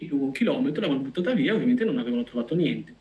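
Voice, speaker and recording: Noticeable background noise runs under a man whose pitch swings very widely. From Veneto, Vicenza. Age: 30s. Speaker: data scientist. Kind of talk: interview.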